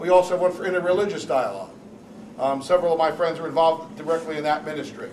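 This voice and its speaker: A man with a New Jersey accent speaks against noticeable background noise. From New Jersey, Newark. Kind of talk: panel talk.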